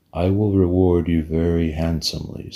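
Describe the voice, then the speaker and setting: This is a growling put-on character voice. It moves at a moderate pace with monotone, flat intonation. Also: man, very deep, low pitch for a man. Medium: read story. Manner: snarling.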